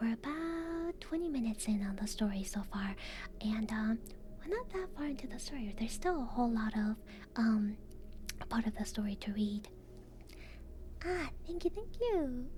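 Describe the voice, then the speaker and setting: A soft-spoken woman with a fairly high pitch speaks in very wide pitch swings, with long, frequent pauses. Noticeable background noise runs underneath. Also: moderate pace. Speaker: VTuber ASMR streamer. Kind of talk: casual live-stream chat.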